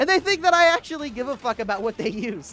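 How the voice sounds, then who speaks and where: A man talks in a raised, projected voice at a fairly quick pace. His pitch swings very widely. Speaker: gaming livestreamer. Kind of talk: casual livestream chat reading comments. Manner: animated.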